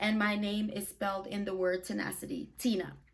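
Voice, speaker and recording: Noticeable background noise accompanies a woman speaking at a moderate pace in an animated tone. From Brooklyn, New York (born in Jamaica). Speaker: YouTuber and podcaster. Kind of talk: casual vlog monologue.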